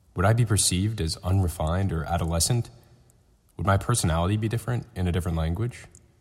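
Somewhat breathy, the voice moves at a very fast pace with ordinary pitch variation in a very clean recording with a silent background. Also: man, very deep, low pitch for a man. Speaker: podcast company executive. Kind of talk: scripted narration.

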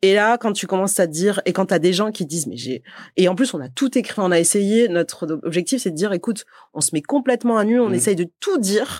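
Speaking at a fairly quick pace with lively intonation, a medium-pitched woman with a slight southern French accent is heard in a dry, close sound with no echo on a very clean recording with a silent background. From southern France, Montpellier. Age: 30s. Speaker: company co-founder and CEO. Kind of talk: podcast interview.

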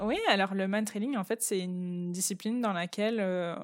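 Speaking at a moderate pace, a woman with a medium-pitched voice keeps a fairly even intonation on a very clean recording with a silent background. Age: 20s. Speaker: teacher. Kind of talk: casual interview. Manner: hesitant with fillers.

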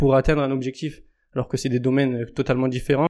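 A man speaks very fast. His pitch is medium. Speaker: sports coach and entrepreneur. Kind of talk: casual interview. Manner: enthusiastic.

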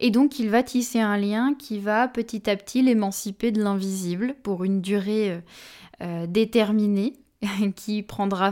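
A woman speaks very slowly at a medium pitch with fairly even intonation on a very clean recording with a silent background. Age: 20s. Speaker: medium and energy healer podcast host. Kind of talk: solo podcast monologue.

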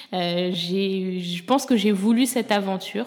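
Amid noticeable background noise, a woman speaks at a medium pitch with fairly even intonation. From France. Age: 30s. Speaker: influencer. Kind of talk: casual chat.

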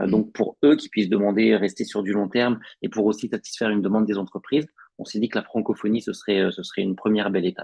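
With fairly even intonation and a fairly low pitch, this male speaker moves at a very fast pace. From northern France, Picardy. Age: 30s. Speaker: recruiter. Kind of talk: podcast interview.

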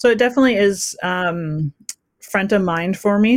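Heard in a very clean recording with a silent background and a dry, close sound with no echo, an ordinary speaking voice with a Canadian accent shows ordinary pitch variation. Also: woman. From western Canada. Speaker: entrepreneur. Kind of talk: interview.

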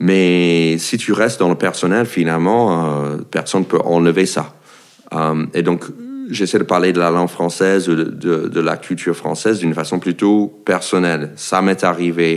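Noticeable background noise accompanies a man with a very deep, low pitch and an American accent. He talks at a fairly slow pace with fairly even intonation and very even loudness. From United States. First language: English (speaking French). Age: 40s. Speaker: comedian. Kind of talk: casual chat. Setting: at his home. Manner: halting.

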